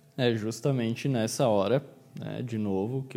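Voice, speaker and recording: A man with a Brazilian accent speaks in a dark, mellow tone. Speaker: psychologist and podcast host. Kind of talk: solo podcast monologue.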